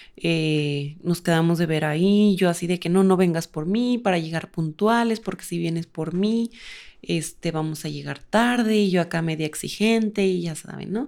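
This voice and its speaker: A woman with a strong Durango accent, fairly low pitch, ordinary pitch variation and moderate pace on a very clean recording with a silent background. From Mexico, Durango. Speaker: podcast co-host. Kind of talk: casual chat.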